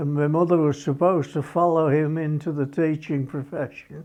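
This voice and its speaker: This man has a Birmingham accent and a fairly high pitch for a man. His tone is dark and mellow, and his pace is fairly slow. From England, Birmingham. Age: 80s+. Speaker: former motorcycle racer. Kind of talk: documentary interview. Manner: halting.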